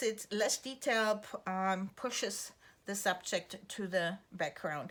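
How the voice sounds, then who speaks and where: A woman speaks very slowly with a German accent, her tone relaxed yet bright and sharp. The recording is very clean with a silent background. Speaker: art teacher. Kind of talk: tutorial. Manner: relaxed, with fillers.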